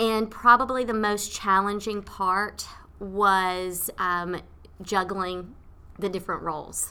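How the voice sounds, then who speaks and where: Spoken in a Tennessee accent at a very slow pace, the voice has a bright, sharp tone and fairly even intonation. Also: woman, medium pitch for a woman. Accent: Southern US (Tennessee). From US South, rural Tennessee. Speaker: nonprofit executive director. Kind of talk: interview. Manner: hesitant, many fillers.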